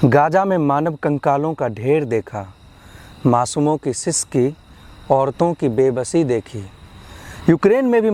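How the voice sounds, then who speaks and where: A man speaks at a fairly high pitch with a dark, mellow tone. The sound is dry and close, with no echo. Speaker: poet; university student. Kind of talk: poetry reading. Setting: outdoors.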